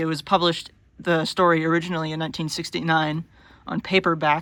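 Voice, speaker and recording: A man's very fast, monotone delivery, flat in intonation and bright and sharp in tone, on a very clean recording with a silent background. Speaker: book reviewer. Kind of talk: casual book review monologue. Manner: shaky, halting.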